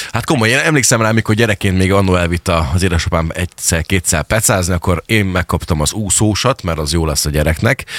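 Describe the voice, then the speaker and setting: Over noticeable background noise, a man speaks very fast with hardly any pauses in a very deep, low pitch. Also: ordinary pitch variation, dry, close sound with no echo. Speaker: radio host. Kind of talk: casual radio interview. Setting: studio.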